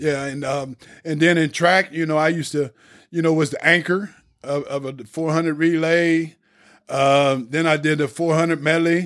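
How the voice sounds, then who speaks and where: Speaking in a normal speaking voice, a man with an American accent and a fairly high pitch keeps a moderate pace and fairly even intonation. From Lebanon, Ohio. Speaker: ex-offender, redemption speaker. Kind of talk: personal testimony. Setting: studio.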